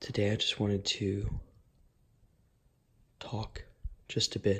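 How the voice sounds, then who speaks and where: A man speaks softly at a fairly slow pace with a fairly low pitch. His tone is relaxed and somewhat breathy. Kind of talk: ASMR ramble to camera. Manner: soft-spoken, relaxed.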